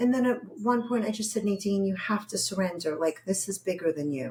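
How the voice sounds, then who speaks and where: A woman with a strong Brooklyn accent speaks at a moderate pace and medium pitch with ordinary pitch variation. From New York, Brooklyn. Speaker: therapist. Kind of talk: interview.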